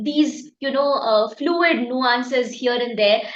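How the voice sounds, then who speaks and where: A woman talks at a very slow pace in a high pitch, with ordinary pitch variation. Audible room echo surrounds her voice. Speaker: exam prep teacher. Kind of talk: lecture. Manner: halting, many fillers.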